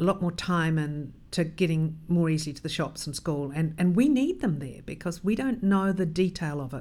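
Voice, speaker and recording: A woman with a New Zealand accent, fairly low in pitch, at a moderate pace. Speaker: cycling advocacy leader. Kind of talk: interview.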